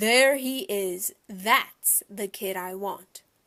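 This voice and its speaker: In a loud, put-on character voice, a woman speaks very slowly at a medium pitch. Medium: read story. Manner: loud, blunt.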